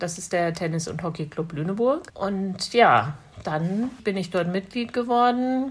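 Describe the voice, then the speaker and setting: A woman with a medium-pitched, somewhat breathy voice speaks fairly slowly with lively intonation. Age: 50s. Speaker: blind tennis player, police administrative employee. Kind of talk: interview.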